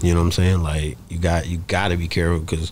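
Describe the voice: Fast-paced and low-pitched, a man's voice has a slightly mellow tone and little pitch movement.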